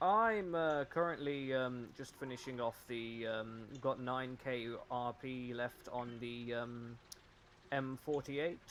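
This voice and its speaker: A man with a British accent talks at a very slow pace. His medium pitch shows ordinary variation. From West Midlands, England. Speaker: gamer, meme maker for a gaming community. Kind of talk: casual chat while gaming. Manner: halting, many fillers.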